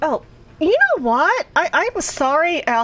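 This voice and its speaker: A woman with an American accent talks at a fairly slow pace, her pitch swinging very widely, with noticeable background noise. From US Northeast (Boston, Northern Virginia, Philadelphia). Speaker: video game streamer. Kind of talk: casual live-stream commentary. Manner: conversational, with hesitations.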